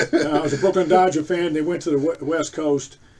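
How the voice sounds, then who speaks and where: A man speaks with an American accent and fairly even intonation. Noticeable background noise runs under his voice. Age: 70s. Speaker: host's father, sports fan. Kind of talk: casual chat. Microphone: no proper mic, poor sound.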